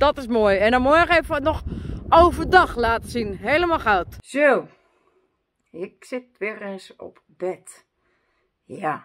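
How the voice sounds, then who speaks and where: Very slow delivery with long, frequent pauses and very wide pitch swings. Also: woman, big swings in loudness. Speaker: vlogger. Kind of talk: casual vlog chat. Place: home room. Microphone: phone near.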